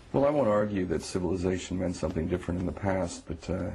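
A man speaks with a very deep, low pitch and a dark, mellow tone that is somewhat breathy. His intonation is fairly even, and there is light background noise. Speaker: guest. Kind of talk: debate answer. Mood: earnest, argumentative. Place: studio.

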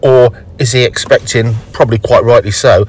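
The sound is dry with no echo. The pace is moderate. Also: man. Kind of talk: tutorial. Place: car.

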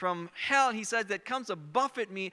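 A man uses a raised, projected voice with a bright, sharp tone and ordinary pitch variation. His pace is moderate, and the background is quiet. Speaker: preacher. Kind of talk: sermon. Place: stage. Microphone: handheld.

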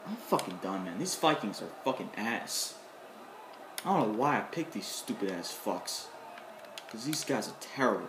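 Over noticeable background noise, the speaker sounds furious and leaves long, frequent pauses. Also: moderate pace. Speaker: gamer. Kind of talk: angry gaming rant, rage quit, nonstop cursing and shouting at the screen. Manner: exasperated, impatient, repeating lines over and over with bitter sarcastic thanks.

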